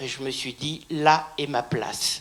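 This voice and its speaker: Noticeable background noise around a woman's very slow delivery. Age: 80s+. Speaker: baptism candidate. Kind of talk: testimony.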